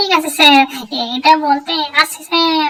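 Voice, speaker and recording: A squeaky, high-pitched cartoonish character voice. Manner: deferential.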